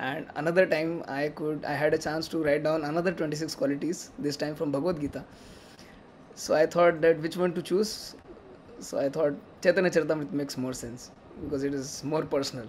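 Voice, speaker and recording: A man talks with a strong Indian accent. His pace is fairly quick and his intonation fairly even. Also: fairly high pitch for a man. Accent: thick Indian. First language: Hindi. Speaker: devotee speaker. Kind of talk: remembrance talk.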